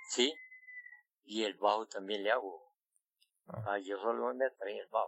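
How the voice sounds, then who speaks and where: A man speaks at a fairly slow pace with long, frequent pauses. His fairly low voice has vocal fry and ordinary pitch variation. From Costa Rica, San Ramón (Alajuela). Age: 80s+. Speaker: farmer and folk musician. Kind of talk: interview, life story. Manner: halting.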